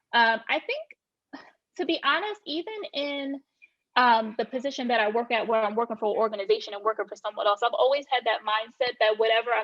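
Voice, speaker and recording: A woman's fairly high voice in a Southern accent, fairly quick in pace, with fairly even intonation. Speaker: real estate agent. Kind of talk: podcast interview.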